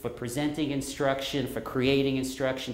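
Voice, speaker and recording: Someone with an American accent speaks over noticeable background noise, with audible room echo. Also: man. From New York. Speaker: professor. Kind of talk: lecture.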